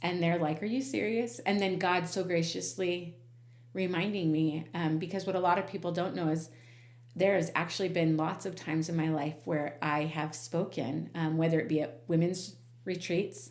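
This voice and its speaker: A woman with a fairly low pitch speaks at very even loudness and with ordinary pitch variation, with audible room echo around her. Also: moderate pace. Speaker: podcast host. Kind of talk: casual chat. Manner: animated.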